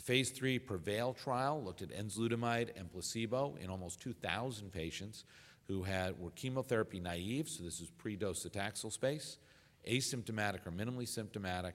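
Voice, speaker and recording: On a very clean recording with a silent background, a man with a fairly low pitch speaks at a fairly quick pace with ordinary pitch variation. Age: 50s. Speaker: urologist and medical professor. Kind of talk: lecture. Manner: halting, many filler sounds.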